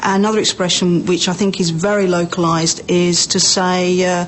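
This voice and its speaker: Against noticeable background noise, a woman with an Estuary English accent speaks in a fairly low pitch and a monotone, flat intonation. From southern England, Berkshire. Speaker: accent sample speaker. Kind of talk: informal monologue about own accent.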